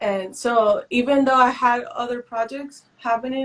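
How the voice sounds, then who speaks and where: At a fairly high pitch, a woman talks with ordinary pitch variation. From northern Mexico (Matamoros). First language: Spanish. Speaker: visual artist. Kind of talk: interview. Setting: Instagram Live video stream. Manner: halting.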